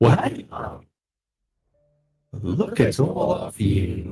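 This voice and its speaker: A man's put-on character voice, calm in tone and fairly low in pitch. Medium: actual play. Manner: calm, unhurried, coolly mocking.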